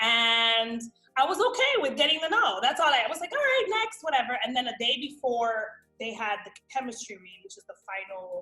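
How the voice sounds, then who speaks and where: In a New York accent, a high-pitched woman talks fairly quickly with lively intonation and big swings in loudness while music plays in the background. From Miami, raised; born New York. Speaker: actress. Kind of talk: interview, casual storytelling. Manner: animated.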